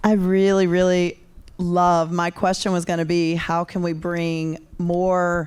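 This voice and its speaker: In a North Carolina accent, a woman with a fairly low pitch is heard on a very clean recording with a silent background. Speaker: audience member at tech event. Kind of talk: audience question.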